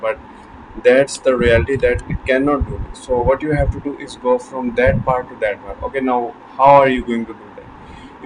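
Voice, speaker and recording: Amid noticeable background noise, a man with a non-native accent speaks at a moderate pace and medium pitch. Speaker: self-improvement vlogger. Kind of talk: motivational talk to camera. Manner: halting, repeats words.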